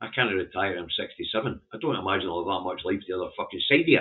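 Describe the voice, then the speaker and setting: Someone with a Scottish accent talks at a fairly quick pace with ordinary pitch variation. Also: man. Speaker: political commentator. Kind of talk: newspaper headline review livestream. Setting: livestream.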